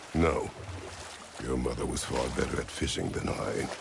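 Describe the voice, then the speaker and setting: A man puts on a character voice at a moderate pace while loud background noise plays. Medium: short film. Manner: terse, curt.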